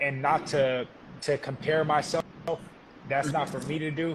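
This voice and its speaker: Keeping a moderate pace, a man speaks with fairly even intonation as noticeable background noise carries on. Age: 30s. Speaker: professional boxer. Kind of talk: interview.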